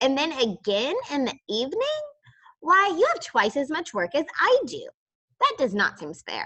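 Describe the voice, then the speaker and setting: Using a put-on character voice, a woman speaks at a moderate pace, high and squeaky, with very wide pitch swings. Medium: read story. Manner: polite, friendly.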